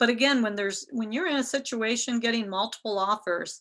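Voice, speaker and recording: With a Midwestern American accent, a woman speaks in a fairly high pitch with a bright, sharp tone and ordinary pitch variation, against a quiet background. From US Midwest, Ohio. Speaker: real estate instructor. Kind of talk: lecture.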